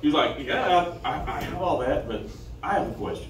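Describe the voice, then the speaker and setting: A man with a nervous tone, light background noise and audible room echo. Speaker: stand-up comedian. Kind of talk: stand-up comedy set, first open mic, crude jokes. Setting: stage with audience. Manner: nervous, halting, filler-heavy, self-deprecating; casual, profane, off-the-cuff delivery. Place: stage. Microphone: pa.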